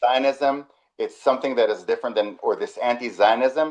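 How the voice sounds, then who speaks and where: Against a quiet background, a man with an Israeli accent speaks at a fairly quick pace. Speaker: webinar host, community manager. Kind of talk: webinar conversation. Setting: video call webinar.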